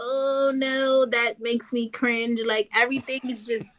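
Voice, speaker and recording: Her pace is very slow. The woman speaks at a high pitch with a New York accent. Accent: New York (Bronx). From New York, the Bronx. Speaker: battle rapper. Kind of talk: casual interview.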